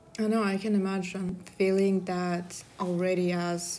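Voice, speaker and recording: A woman speaks in a fairly low, dark, mellow voice with monotone, flat intonation, and the room echo is audible. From Kazakhstan. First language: Kazakh or Russian. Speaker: podcast host, student. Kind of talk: casual chat.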